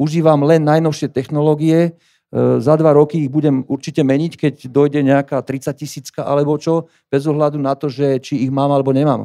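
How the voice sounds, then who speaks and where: Over a quiet background, a man talks at a fairly quick pace in a fairly high pitch. His tone is dark and mellow, his intonation monotone and flat. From Slovakia. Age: 50s. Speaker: gallery owner and fine art printer. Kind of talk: conference talk. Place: hall. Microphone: handheld.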